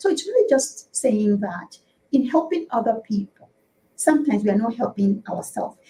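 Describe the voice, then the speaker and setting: A woman with a Nigerian accent talks at a fairly quick pace. Her tone is dark and mellow, with lively intonation. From Nigeria, Igbo (Afikpo). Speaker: politician and talk show guest. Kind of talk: talk show interview. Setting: live online talk show. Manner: hesitant, many fillers and repetitions.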